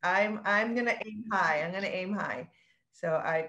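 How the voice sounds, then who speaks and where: A woman of medium pitch uses an unremarkable speaking voice with ordinary pitch variation. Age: 40s. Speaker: real estate agent. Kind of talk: panel discussion.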